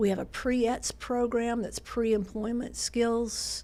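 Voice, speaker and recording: A woman speaks in a Southern US accent. Her pace is very slow. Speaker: nonprofit president. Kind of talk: podcast interview.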